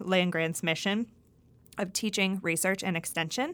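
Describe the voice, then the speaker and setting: Recorded very cleanly against a silent background, a woman with an American accent talks at a medium pitch with ordinary pitch variation. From Pennsylvania, US. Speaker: university extension dairy specialist and professor. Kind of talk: scripted-style podcast introduction. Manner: friendly, conversational, with laughs.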